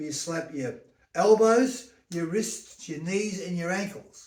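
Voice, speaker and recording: This man talks at a fairly slow pace in a high pitch, with ordinary pitch variation. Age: 70s. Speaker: health and stretching enthusiast. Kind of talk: casual talk to camera. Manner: blunt, emphatic, sweary.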